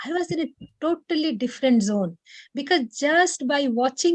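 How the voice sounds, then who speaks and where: Her voice is high-pitched with ordinary pitch variation, a moderate pace and a dry, close sound with no echo. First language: Odia. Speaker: meditation session leader. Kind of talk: personal testimony. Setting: video call. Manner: hesitant, many fillers.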